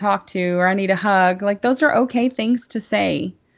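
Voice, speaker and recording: Here a woman speaks in a Tennessee accent. Her pitch sits in the medium range. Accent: Southern US (Tennessee). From US South, Tennessee (near Chattanooga). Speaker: libertarian podcaster. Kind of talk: casual interview.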